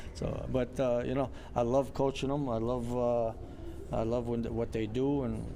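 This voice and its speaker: In a room with audible echo, a man speaks fairly slowly in a medium pitch, his tone dark and mellow and his intonation monotone and flat. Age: 60s. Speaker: boxing coach. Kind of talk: casual interview. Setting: boxing gym.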